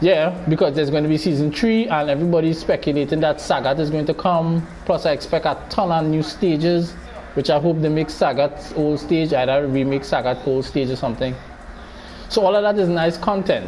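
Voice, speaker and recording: A man with a fairly high pitch speaks at a fairly quick pace over noticeable background noise. His loudness stays very even and his pitch variation is ordinary. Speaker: gaming streamer. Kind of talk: live gameplay stream chat.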